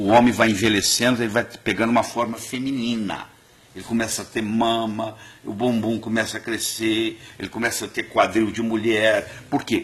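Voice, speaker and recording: With monotone, flat intonation, this man keeps a moderate pace. His pitch is medium. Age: 60s. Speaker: cardiologist and nutrition doctor. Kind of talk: TV interview.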